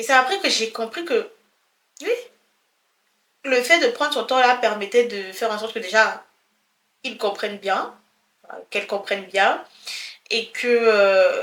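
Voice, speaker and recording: With a bright, sharp tone, a woman speaks fairly slowly at a fairly high pitch, her pitch varying in an ordinary way. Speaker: personal development vlogger. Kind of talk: casual motivational talk to camera.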